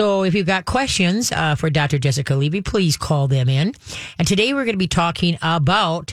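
A woman's fairly low voice with lively intonation at a moderate pace.

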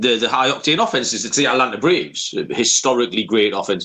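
A man talking at a very fast pace, bright and sharp in tone, with lively intonation. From northeast England. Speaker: sports betting podcast host. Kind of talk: casual chat.

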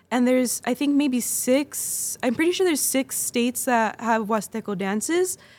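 A woman with a Californian accent speaks at a high pitch and a moderate pace, with lively intonation. She barely pauses, and her loudness stays very even. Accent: Californian American English. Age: 20s. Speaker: folklórico dancer and instructor. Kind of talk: casual interview. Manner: laughs often.

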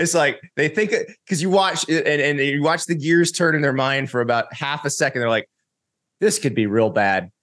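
A man with an unremarkable speaking voice talks at a moderate pace and a fairly high pitch, with lively intonation. His loudness stays very even over a quiet background. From Florida, US South. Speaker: college football writer and analyst. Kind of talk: casual chat.

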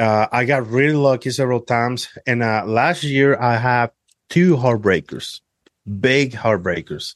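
A man speaks at a moderate pace in an ordinary speaking voice, his medium pitch showing ordinary pitch variation. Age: 30s. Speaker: hunter. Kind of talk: casual chat.

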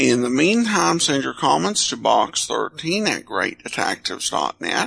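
A man speaks at a fairly slow pace with noticeable background noise around him. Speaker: podcast host. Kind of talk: podcast intro and outro, informational.

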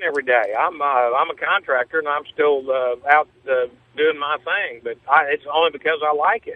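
A man with a fairly high pitch talks in an ordinary speaking voice, keeping a moderate pace and fairly even intonation. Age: 60s. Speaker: caller, Vietnam veteran. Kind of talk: call-in talk radio. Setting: phone call.

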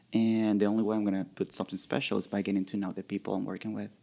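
A man's dark, mellow voice with a Spanish accent, fairly low in pitch, racing along at a very fast pace in a flat monotone. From Venezuela. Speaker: bartender. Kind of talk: casual chat. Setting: studio.

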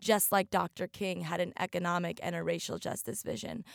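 A woman speaks in an American accent with vocal fry, at a medium pitch and a moderate pace. The sound is dry and close, with no echo. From Oregon. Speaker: activist. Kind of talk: interview. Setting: remote studio.

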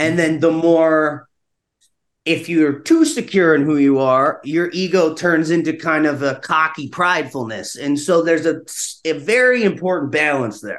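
A man's fairly high-pitched voice with an American accent, at a moderate pace, with ordinary pitch variation, over a quiet background. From US South, North Carolina. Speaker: actor and screenwriter. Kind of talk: interview conversation.

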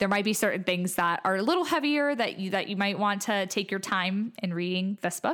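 In an American accent, a woman of medium pitch speaks at a moderate pace with ordinary pitch variation on a very clean recording with a silent background. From Ohio, Cleveland. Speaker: book podcast guest. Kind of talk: casual chat.

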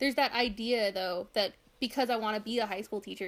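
This woman speaks with an American accent at a very fast pace. Her pitch sits fairly high, and her intonation stays fairly even. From far northern California. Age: 20s. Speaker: college student. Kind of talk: casual chat. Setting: call.

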